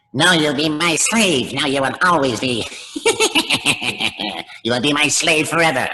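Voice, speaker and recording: In a put-on character voice of low-to-middle pitch, the speaker moves at a moderate pace. Long, frequent pauses break up the delivery. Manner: mean, domineering.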